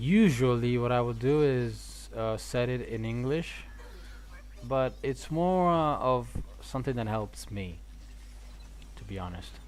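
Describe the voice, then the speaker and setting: A man talks at a very slow pace. Audible room echo surrounds his voice. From Italy. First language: Italian. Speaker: gaming streamer. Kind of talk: casual live-stream chat. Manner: halting, many repetitions.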